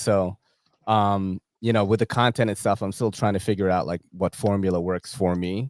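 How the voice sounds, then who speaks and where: Delivered at a fairly quick pace in a New York accent, the speech has a dry, close sound with no echo on a very clean recording with a silent background. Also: man. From New York City. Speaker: EDC content creator. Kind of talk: casual chat. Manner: animated.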